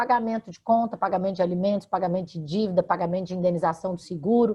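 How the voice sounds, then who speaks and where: Somewhat breathy, a woman speaks at a medium pitch with ordinary pitch variation. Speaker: law professor, radio guest. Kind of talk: interview answer explaining consumer law.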